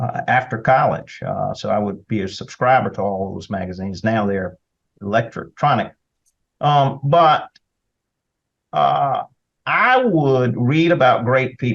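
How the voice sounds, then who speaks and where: Lively intonation in a Southern US accent, a fairly slow pace, and long, frequent pauses. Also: man, medium pitch for a man. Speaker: attorney and state senator. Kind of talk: interview conversation.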